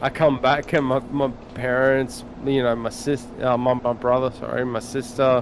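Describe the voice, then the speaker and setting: A flat, monotone voice with an Australian accent comes through over noticeable background noise. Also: man, medium pitch for a man, moderate pace. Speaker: gamer on a live stream. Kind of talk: casual chat.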